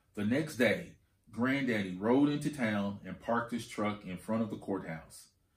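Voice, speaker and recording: His is an unremarkable speaking voice. The man keeps a moderate pace, and his pitch varies in an ordinary way. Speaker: school administrator reading aloud. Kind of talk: audiobook-style children's read-aloud of a picture book. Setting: video reading for school students. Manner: calm, warm, steady teacherly pacing, pausing to point out pictures.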